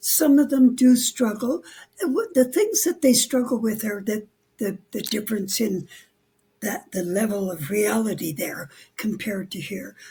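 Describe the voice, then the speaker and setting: A woman with a fairly high pitch, a dark, mellow tone and a somewhat breathy quality. Her intonation is lively and her pace is moderate. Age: 80s+. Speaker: near-death experience researcher and author. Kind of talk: interview. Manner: halting, with frequent repetitions.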